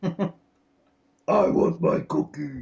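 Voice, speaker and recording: A put-on character voice growls at a middle pitch, gravelly throughout. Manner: comical, gruff.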